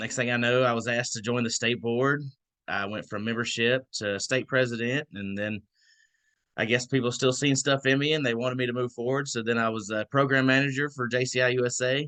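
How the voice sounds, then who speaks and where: The speaker has a Southern accent and a bright, sharp tone, with fairly even intonation at a moderate pace. Long, frequent pauses break up the speech against a quiet background. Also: man. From Georgia, US South. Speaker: membership co-director of a nonprofit. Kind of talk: online orientation talk. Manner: casual, hesitant fillers.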